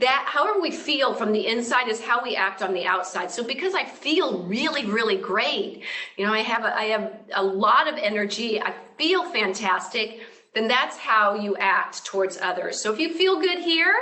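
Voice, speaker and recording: With very wide pitch swings and a fairly high pitch, a woman talks at a moderate pace amid noticeable background noise and audible room echo. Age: 60s. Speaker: yoga and fitness educator. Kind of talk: interview.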